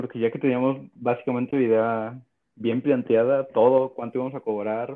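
This is an unremarkable speaking voice at a moderate pace. The intonation is fairly even. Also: man. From Mexico, Oaxaca. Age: 20s. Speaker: podcast co-host, programmer. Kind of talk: casual chat.

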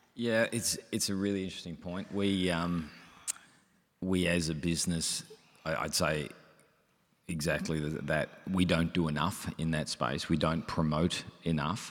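With an Australian accent, a man with a very deep, low pitch talks at a fairly slow pace in fairly even intonation, pausing long and often. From Melbourne, Australia. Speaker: company executive director. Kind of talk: panel discussion. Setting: stage with audience.

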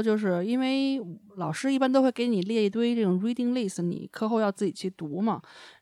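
Heard on a very clean recording with a silent background, a woman talks at a moderate pace in a normal speaking voice, her fairly high pitch showing ordinary variation. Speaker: podcast host. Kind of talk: casual chat.

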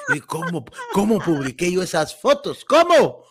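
Noticeable background noise accompanies a man who speaks with a Guatemalan accent and ordinary pitch variation. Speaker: comedy podcast host. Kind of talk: casual chat.

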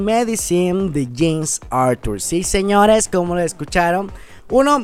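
A man talks at a moderate pace with lively intonation while music plays in the background. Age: 20s. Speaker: radio host. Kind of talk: radio show hosting.

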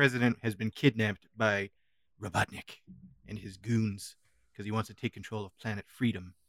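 A man speaks at a fairly quick pace in an ordinary speaking voice, medium in pitch with ordinary pitch variation. The recording is very clean and silent behind him, dry and close with no echo. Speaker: podcast host. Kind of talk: casual banter review chat. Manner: joking, profane.

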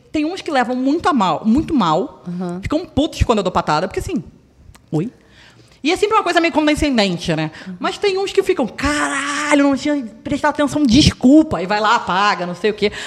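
A woman with a high voice keeps a moderate pace while her pitch swings very widely. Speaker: podcast guest. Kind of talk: casual chat.

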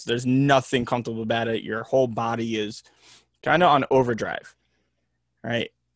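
At a fairly quick pace, a man with a plain, everyday voice of medium pitch keeps fairly even intonation in a very clean recording with a silent background. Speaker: mental health worker, former hockey player. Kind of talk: casual interview chat.

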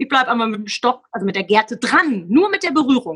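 A woman speaks in a raised, projected voice at a very fast pace. Her high-pitched tone is bright and sharp, with very wide pitch swings. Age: 40s. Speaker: sales trainer and motivational speaker. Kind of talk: casual interview.

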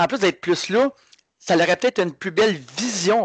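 With a Quebec accent and lively intonation, a man speaks in a dry, close sound with no echo. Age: 30s. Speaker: martial arts instructor. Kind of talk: casual chat.

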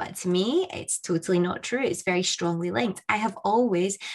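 The speaker has a Scottish accent and ordinary pitch variation. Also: woman. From Scotland. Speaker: podcast host. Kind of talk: interview.

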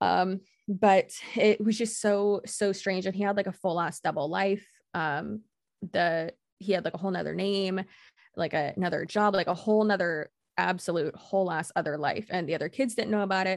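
Against a quiet background, a woman with an unremarkable speaking voice and medium pitch speaks at a moderate pace. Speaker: YouTube creator. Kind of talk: casual chat.

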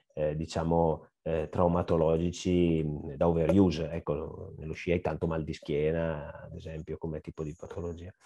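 Against a quiet background, a man with a Lombard accent speaks in a very deep, low pitch with a dark, mellow tone and monotone, flat intonation. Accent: Brescia (Lombard). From northern Italy, Brescia (Lombardy). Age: 40s. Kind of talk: interview. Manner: hesitant, many fillers.

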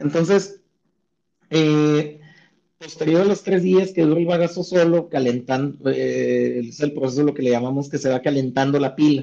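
Fairly high in pitch for a man, his dark, mellow voice moves at a fairly slow pace with ordinary pitch variation. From Chihuahua, northern Mexico. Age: 30s. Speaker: sotol brand co-founder and economist. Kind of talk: interview. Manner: halting, many fillers.

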